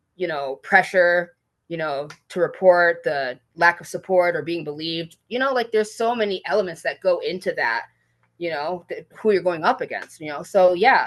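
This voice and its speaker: A woman with an American accent, a plain, everyday voice and a fairly low pitch speaks at a moderate pace, with ordinary pitch variation and big swings in loudness. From Michigan. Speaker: teacher. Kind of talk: casual chat.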